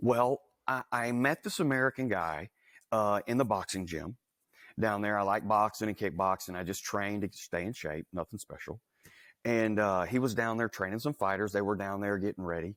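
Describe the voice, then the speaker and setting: Recorded very cleanly over a silent background, a man with a Southern US accent speaks at a moderate pace in a fairly low voice with ordinary pitch variation. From US South, Louisiana. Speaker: entrepreneur. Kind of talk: interview. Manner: casual, conversational.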